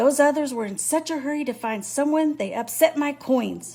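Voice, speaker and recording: Putting on a gruff, growling character voice, a woman talks at a moderate pace with faint music in the background. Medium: read story. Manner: gruff, snarling.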